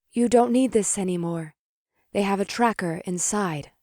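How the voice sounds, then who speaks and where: A put-on character voice at a middle pitch, delivered in a calm tone at a moderate pace. The recording is very clean, with a silent background. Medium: read story.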